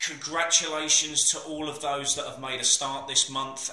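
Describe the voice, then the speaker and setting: Speaking at a moderate tempo, a man is heard with audible echo from the room. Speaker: personal trainer. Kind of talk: casual vlog chat. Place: gym. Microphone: phone near.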